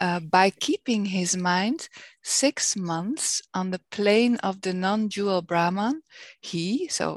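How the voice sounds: A woman with a Dutch accent talks at a very slow pace and medium pitch, with ordinary pitch variation. The sound is dry and close, with no echo.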